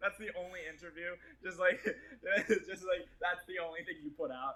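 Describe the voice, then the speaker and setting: Using a raised, projected voice, a man speaks at high pitch with a bright, sharp tone, ordinary pitch variation and a moderate pace. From US Northeast, Quincy, Boston area. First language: Portuguese. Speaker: actor and filmmaker. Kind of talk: casual interview chat. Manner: casual, many fillers and repetitions.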